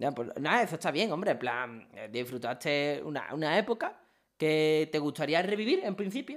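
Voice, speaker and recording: With an unremarkable speaking voice, a man speaks at a moderate pace and a fairly high pitch, his intonation lively, in a very clean recording with a silent background. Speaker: streamer hosting a live interview. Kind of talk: casual chat on a livestream.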